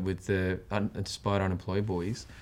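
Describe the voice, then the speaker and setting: A man's fairly low-pitched voice on a very clean recording with a silent background. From Australia. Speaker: podcast host and branding speaker. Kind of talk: interview.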